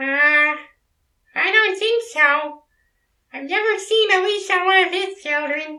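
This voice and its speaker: A put-on character voice, squeaky and extremely high in pitch, delivers its lines at a fairly slow pace. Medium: audio drama. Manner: patient, gently wry.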